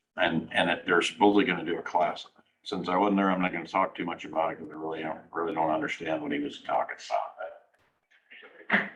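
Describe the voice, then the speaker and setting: Talking at a very fast pace with an ordinary amount of pitch variation, the speaker has a Midwestern US accent and leaves long, frequent pauses. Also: man, very deep, low pitch for a man. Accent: US Midwest. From Iowa, Fort Dodge. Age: 60s. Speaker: county supervisor. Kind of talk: public meeting discussion. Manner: hesitant, with many fillers.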